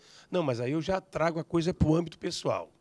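A man talks at a fairly quick pace. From Brazil. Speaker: pastor and writer. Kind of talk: panel discussion. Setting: studio. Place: studio. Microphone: handheld.

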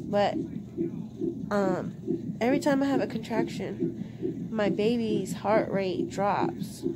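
Loud background noise surrounds speech delivered at a very slow pace. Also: woman. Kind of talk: casual vlog chat. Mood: worried, quiet. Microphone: phone near.

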